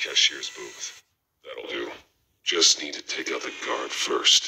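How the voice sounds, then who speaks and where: A man uses a put-on character voice with an extremely high pitch. He talks at a fairly slow pace. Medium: video game. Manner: terse, controlled.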